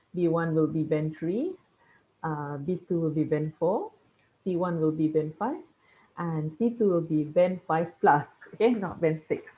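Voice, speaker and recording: A woman with a Malaysian accent talks fairly slowly in a fairly low pitch, with long, frequent pauses. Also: ordinary pitch variation. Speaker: teacher. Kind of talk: lecture. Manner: halting.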